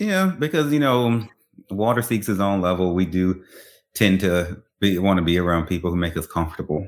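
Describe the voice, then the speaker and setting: Very deep and low, a man's voice holds a very even loudness in a very clean recording with a silent background. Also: ordinary pitch variation, moderate pace. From Louisiana, Baton Rouge. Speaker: podcast host and author, military veteran. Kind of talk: interview.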